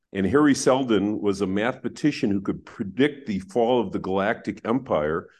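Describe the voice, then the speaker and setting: At a moderate pace with hardly any pauses, a man with a plain, everyday voice speaks at a medium pitch with ordinary pitch variation over a quiet background. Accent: American. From US Midwest, Wisconsin. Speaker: economics professor. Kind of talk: interview.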